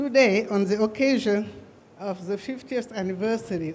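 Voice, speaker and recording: Through noticeable background noise, a woman speaks at a medium pitch with ordinary pitch variation. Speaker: government representative. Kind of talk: formal speech. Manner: halting.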